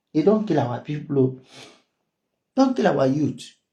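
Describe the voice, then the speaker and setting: Somewhat breathy, this man's voice sits fairly high. His tone is dark and mellow. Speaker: activist. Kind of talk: political monologue.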